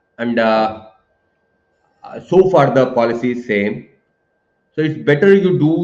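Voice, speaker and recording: A man with an Indian accent talks in a medium pitch. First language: Hindi. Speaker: professor. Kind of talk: webinar Q&A. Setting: live online webinar. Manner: hesitant, many fillers.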